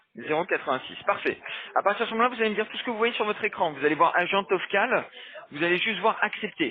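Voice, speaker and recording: Over noticeable background noise, a man with a high pitch and lively intonation talks at a very fast pace. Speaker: phone support agent. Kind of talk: phone call guidance.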